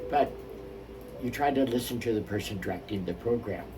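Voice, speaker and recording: Medium-pitched male speech with ordinary pitch variation at a moderate pace, plus audible room echo and music in the background. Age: 70s. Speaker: minister. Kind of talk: spiritual talk with personal story.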